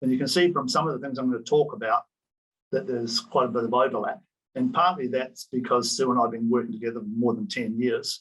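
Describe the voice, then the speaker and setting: A man with a New Zealand accent at a very fast pace, medium pitch, with ordinary pitch variation. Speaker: professor. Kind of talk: conference presentation.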